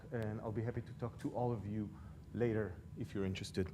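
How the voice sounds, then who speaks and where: A man speaks at a fairly quick pace with a non-native accent and fairly even intonation. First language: not English. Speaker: public commenter. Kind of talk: public comment.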